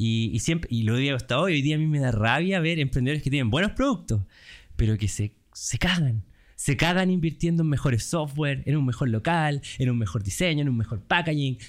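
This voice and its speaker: This man speaks with a Chilean accent at a fairly quick pace, his fairly high pitch carrying lively intonation at very even loudness, on a very clean recording with a silent background. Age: 30s. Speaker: entrepreneur, company founder. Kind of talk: casual interview.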